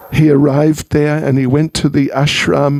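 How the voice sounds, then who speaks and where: A man speaks at a fairly slow pace with a New Zealand accent. The sound is dry and close, with no echo. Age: 70s. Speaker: monk and spiritual teacher. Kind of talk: religious talk at a home program. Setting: private home gathering. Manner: conversational.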